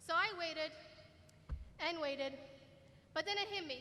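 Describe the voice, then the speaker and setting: A woman's raised, projected voice, extremely high-pitched with a bright, sharp tone, fairly even intonation and a moderate pace. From Middle East (Kuwaiti/Jordanian). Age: 20s. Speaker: student speaker. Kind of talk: commencement speech. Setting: stage with audience in arena.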